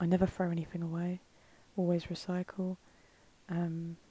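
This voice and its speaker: A woman's soft-spoken, somewhat breathy voice at medium pitch, calm in tone and dark, mellow in quality, with monotone, flat intonation at a moderate pace, in a dry, close sound with no echo. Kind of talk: casual talk to camera. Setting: voiceover recorded separately from the video. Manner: soft-spoken, calm.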